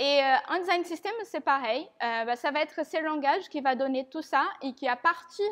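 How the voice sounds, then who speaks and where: A woman with a non-native accent and a high pitch speaks at a fairly slow pace with lively intonation. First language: not French (speaking French). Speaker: conference speaker on design systems. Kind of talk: tech talk presentation. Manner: halting, many fillers.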